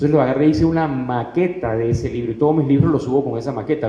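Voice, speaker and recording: A man talks very fast in a room with audible echo and noticeable background noise. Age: 60s. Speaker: self-published author. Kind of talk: panel talk. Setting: stage with audience.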